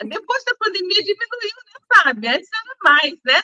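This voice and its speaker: A woman with a bright, sharp tone raises and projects her voice at a fairly slow pace, her pitch swinging very widely in a dry, close sound with no echo. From Brazil, Pindamonhangaba (São Paulo state). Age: 50s. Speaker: entrepreneur and TV show co-host. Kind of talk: casual interview chat.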